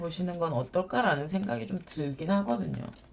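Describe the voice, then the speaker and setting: A woman's fairly quick speech over noticeable background noise. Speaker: shaman and tarot reader. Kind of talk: tarot reading for viewers. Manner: soft, low effort, slurred pronunciation.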